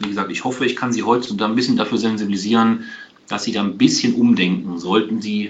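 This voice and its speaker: A fairly low-pitched man at a fairly quick pace, with audible room echo and noticeable background noise. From Aachen, western Germany. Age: 40s. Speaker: tax advisor. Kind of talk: webinar lecture. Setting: video webinar. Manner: hesitant, many filler sounds.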